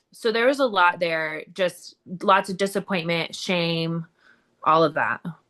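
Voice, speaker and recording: A woman speaks loudly at a fairly slow pace with a bright, sharp tone. The background is quiet. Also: fairly low pitch for a woman, ordinary pitch variation. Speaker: recovering addict and entrepreneur. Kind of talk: interview testimony.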